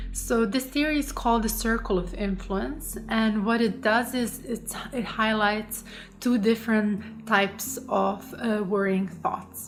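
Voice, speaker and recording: Against noticeable background noise, a woman with a non-native accent speaks at a fairly slow pace and a fairly high pitch, with ordinary pitch variation and hardly any pauses. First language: not English. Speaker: coach and psychologist. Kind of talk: online course lesson. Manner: halting, many fillers.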